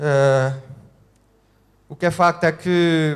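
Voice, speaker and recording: A man's voice with fairly even intonation. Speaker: couple telling their life story. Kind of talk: testimony. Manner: halting, many fillers.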